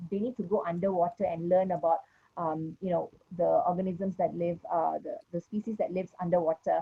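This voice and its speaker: A woman at a fairly low pitch and a fairly quick pace, with monotone, flat intonation. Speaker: education ministry official. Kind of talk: panel discussion. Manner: hesitant, many fillers.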